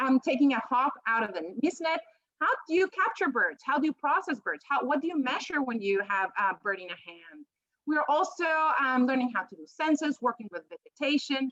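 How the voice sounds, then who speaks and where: A woman with a strong Peruvian accent talks at a fairly quick pace and high pitch, her voice making very wide pitch swings, in a dry, close sound with no echo. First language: Spanish. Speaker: professor. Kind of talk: panel presentation.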